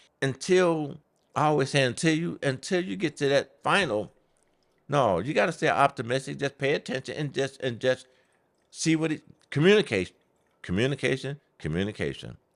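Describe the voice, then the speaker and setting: On a very clean recording with a silent background, a man speaks at a moderate pace with lively intonation. His fairly high voice carries vocal fry. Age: 60s. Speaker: podcast host's father. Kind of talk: casual chat.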